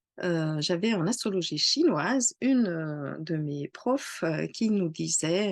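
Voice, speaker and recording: A woman talks at a very slow pace with lively intonation over a quiet background. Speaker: astrologer. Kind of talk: casual talk to camera. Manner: hesitant, many fillers.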